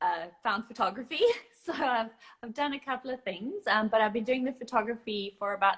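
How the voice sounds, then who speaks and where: A woman with a South African accent speaks in a bright, sharp tone with lively intonation. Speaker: photographer. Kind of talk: casual interview. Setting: live video call.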